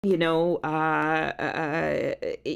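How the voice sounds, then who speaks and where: The recording is very clean and the background silent. A woman speaks in it. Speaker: songwriter. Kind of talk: casual chat. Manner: loud.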